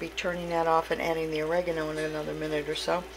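Faint music plays in the background as a woman speaks at a fairly low pitch. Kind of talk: casual cooking vlog narration. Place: kitchen. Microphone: phone near.

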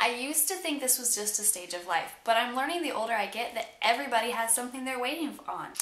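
A woman's raised, projected voice at a fairly quick pace, with audible room echo. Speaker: vlogger. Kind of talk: casual vlog chat.

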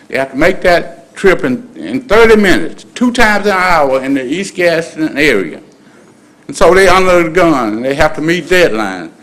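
Lively intonation in a Southern US accent at a moderate pace. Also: man, high pitch for a man. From US South. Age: 60s. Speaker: citizen speaking at public comment. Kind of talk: public comment. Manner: halting. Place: hall. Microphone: podium.

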